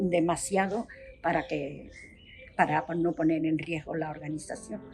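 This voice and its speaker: A woman's fairly low voice at a fairly slow pace, with ordinary pitch variation and music playing in the background. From Spain, Seville. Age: 70s. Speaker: retired activist. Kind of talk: interview.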